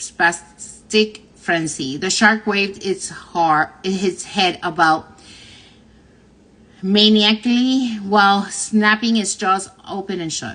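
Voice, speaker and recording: A woman with a Spanish accent speaks at medium pitch with ordinary pitch variation and a bright, sharp tone. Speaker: livestream host reading a book aloud. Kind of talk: reading aloud. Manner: halting, frequent self-corrections.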